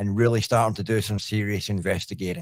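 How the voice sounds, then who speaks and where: A man with a Scottish accent speaks at a fairly quick pace in a dry, close sound with no echo. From Scotland. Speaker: paranormal investigator. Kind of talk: podcast interview.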